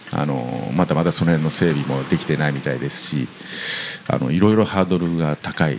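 Over noticeable background noise, a man with a very deep, low voice talks at a fairly quick pace with ordinary pitch variation. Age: 60s. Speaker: guesthouse owner. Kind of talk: interview. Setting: old house.

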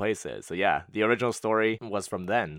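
In an energetic tone, a man talks at a fairly quick pace on a very clean recording with a silent background. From Montreal, Canada. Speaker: podcast host. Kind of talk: casual solo Q&A episode. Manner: fast talker; energetic, laughs often.

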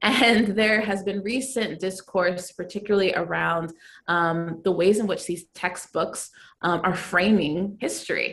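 In a normal speaking voice with an American accent, a woman speaks at a fairly slow pace, with a medium pitch and ordinary pitch variation. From Texas, US. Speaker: podcast co-host. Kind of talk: casual interview conversation.

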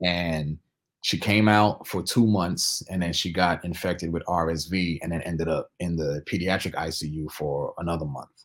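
In a very clean recording with a silent background, a man with a very deep, low voice talks at a moderate pace with fairly even intonation. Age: 40s. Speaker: DJ. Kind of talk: casual chat.

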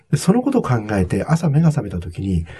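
A man's voice makes very wide pitch swings. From Japan, Nagano (Togakushi). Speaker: hospitality consultant and author. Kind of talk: interview.

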